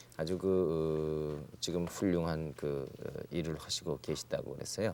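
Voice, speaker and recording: Dark and mellow in tone, the voice belongs to a man. He talks very slowly. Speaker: TV talk show host. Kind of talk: TV talk show interview.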